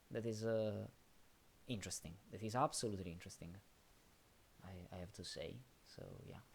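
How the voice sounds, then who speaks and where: A man with a non-native accent, fairly low in pitch, at a fairly quick pace, with ordinary pitch variation, big swings in loudness and long, frequent pauses. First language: not English. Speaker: streamer solving sudoku puzzles. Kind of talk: live stream chat. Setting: live stream. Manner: halting, many fillers.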